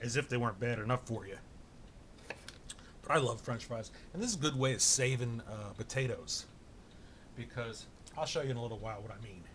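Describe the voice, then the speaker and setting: Over noticeable background noise, a man of medium pitch and ordinary pitch variation talks at a fairly quick pace, broken by long, frequent pauses. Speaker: home cooking vlogger. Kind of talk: casual cooking tutorial. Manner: loud, shouting to be heard. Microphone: far from camera mic, has to shout.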